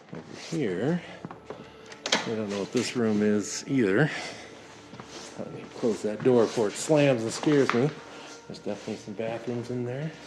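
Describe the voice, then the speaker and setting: A man speaks at a moderate pace with a medium pitch and ordinary pitch variation, leaving long, frequent pauses over noticeable background noise. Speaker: paranormal investigator. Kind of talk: walkthrough vlog narration. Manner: animated.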